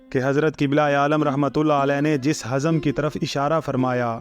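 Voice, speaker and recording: Music plays in the background as a man with a fairly high pitch speaks in a monotone, flat intonation. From Pakistan. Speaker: voice-over artist. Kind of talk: scripted narration. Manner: formal.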